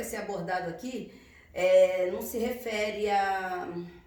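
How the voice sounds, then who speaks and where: Noticeable background noise surrounds a woman's voice. She talks at a very slow pace and a fairly high pitch. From Rio de Janeiro. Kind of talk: casual talk to camera.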